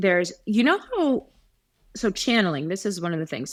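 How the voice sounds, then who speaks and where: The background is silent on this very clean recording. Her pace, as a woman speaking, is fairly quick. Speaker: intuitive reader. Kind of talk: casual chat. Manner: halting, many ums and restarts.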